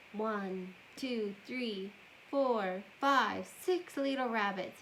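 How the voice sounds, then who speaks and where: A put-on character voice moves at a very slow pace over clear background noise. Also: woman, fairly high pitch for a woman. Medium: read story.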